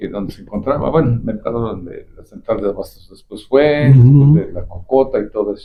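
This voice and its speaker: This man's voice sits at a medium pitch and is somewhat breathy. He talks at a fairly quick pace with lively intonation. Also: hardly any pauses, big swings in loudness. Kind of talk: interview host questions.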